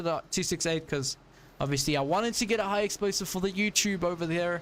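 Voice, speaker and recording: Animated in tone, a high-pitched man with a South African accent speaks at a very fast pace. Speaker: gaming streamer. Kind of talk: live gameplay commentary. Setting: live stream.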